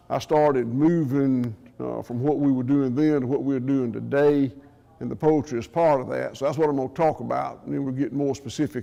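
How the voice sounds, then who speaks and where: With a strong Southern US accent, a man of medium pitch speaks at a moderate pace and fairly even intonation against noticeable background noise. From US South, southwest Georgia. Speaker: farmer. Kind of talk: conference talk. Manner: loud.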